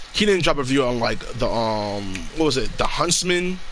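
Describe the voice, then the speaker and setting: A man at a fairly high pitch and moderate pace with lively intonation, noticeable background noise and audible room echo. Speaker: gaming streamer. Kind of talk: casual chat. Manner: halting.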